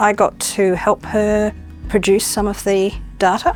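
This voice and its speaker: A woman with an Australian accent speaks at a moderate pace in a fairly high pitch, with music playing in the background. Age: 60s. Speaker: aged care worker. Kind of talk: testimony.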